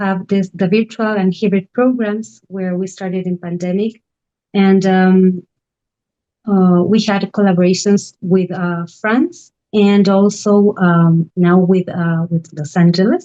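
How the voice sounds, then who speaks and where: In an Argentine accent, a woman speaks very slowly with flat, monotone intonation and a dark, mellow tone. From Argentina, Buenos Aires. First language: Spanish. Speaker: artist residency director. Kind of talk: online panel presentation. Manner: halting, many fillers.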